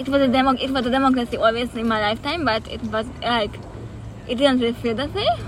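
A woman's high-pitched voice at a very fast pace over noticeable background noise. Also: ordinary pitch variation. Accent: Hungarian. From Hungary, Budapest. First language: Hungarian. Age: 20s. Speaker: peace activist. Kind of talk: interview. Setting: outdoors in a park.

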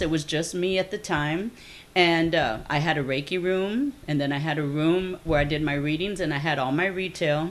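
Speaking at a moderate pace, this woman has a fairly low pitch. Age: 50s. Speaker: psychic healer and fair founder. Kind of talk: casual interview chat. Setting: home.

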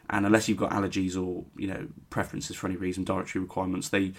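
Talking at a very fast pace, a man keeps his fairly low pitch monotone and flat. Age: 20s. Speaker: football podcast co-host. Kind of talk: casual chat. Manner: halting, many fillers and repetitions.

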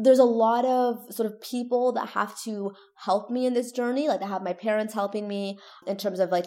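With a Canadian accent, a woman speaks in an ordinary speaking voice, fairly high in pitch, at a moderate pace with fairly even intonation. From Toronto, Canada. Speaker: neuroscience PhD student and science communicator. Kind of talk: interview conversation.

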